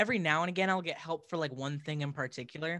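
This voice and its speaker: In a very clean recording over a silent background, a man with an American accent speaks in a bright, sharp tone with fairly even intonation. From Washington, near Seattle. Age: young. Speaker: pop-punk musician. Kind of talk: casual interview.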